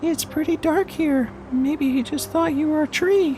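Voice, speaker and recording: A squeaky, high-pitched put-on character voice moves at a moderate pace over clear background noise. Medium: audio drama.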